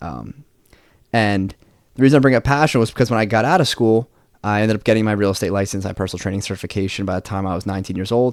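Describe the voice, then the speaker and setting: On a very clean recording with a silent background, a man talks at a very fast pace with a fairly low pitch and fairly even intonation. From New Jersey. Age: 20s. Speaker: podcast host. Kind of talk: solo podcast monologue. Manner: casual, with filler words.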